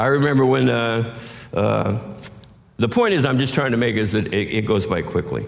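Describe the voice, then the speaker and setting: A man with a medium-pitched voice speaks at a moderate pace, with ordinary pitch variation and very even loudness. Noticeable background noise and audible room echo surround him. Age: 60s. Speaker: pastor. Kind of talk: sermon.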